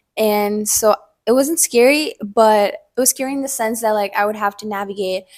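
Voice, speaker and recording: This woman talks fairly quickly at a medium pitch in an unremarkable speaking voice. The recording is very clean, with a silent background. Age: 20s. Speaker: university student. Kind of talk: casual interview. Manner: filler-heavy casual speech.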